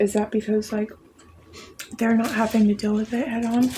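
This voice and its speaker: A woman whispers at a moderate pace. Noticeable background noise can be heard behind her. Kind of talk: ASMR eating video with casual chat. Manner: whispered.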